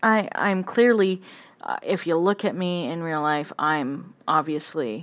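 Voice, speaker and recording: A woman's very deep, low-pitched voice at a fairly slow pace, with ordinary pitch variation. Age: 30s. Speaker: podcaster. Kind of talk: personal monologue. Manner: halting.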